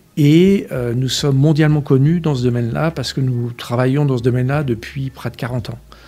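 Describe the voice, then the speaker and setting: Fairly quick and with hardly any pauses, a man talks in a dark, mellow tone at medium pitch with ordinary pitch variation. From France, Essonne (Paris region). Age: 60s. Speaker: company director. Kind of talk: interview. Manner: hesitant, many fillers.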